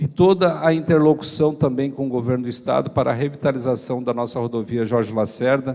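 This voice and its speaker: A man speaks in an ordinary speaking voice at medium pitch. He talks at a fairly quick pace with ordinary pitch variation. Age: 40s. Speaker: mayoral candidate, state deputy. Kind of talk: campaign speech at church debate. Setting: church event with live audience.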